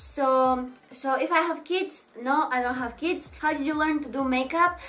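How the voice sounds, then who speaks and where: In a Bulgarian accent, a raised, projected voice with a bright, sharp tone carries ordinary pitch variation. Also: woman. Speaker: beauty vlogger, makeup artist. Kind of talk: Q&A vlog. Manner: casual, slightly halting.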